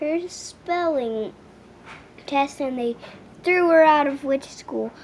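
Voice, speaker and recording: A woman performs a put-on character voice at a high pitch. Background noise is clearly audible. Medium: read story. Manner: rambling.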